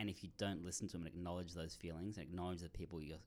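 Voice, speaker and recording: A man speaks with an Australian accent at a very deep, low pitch. His intonation is flat and monotone. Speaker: writer and startup marketer. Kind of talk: interview. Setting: studio.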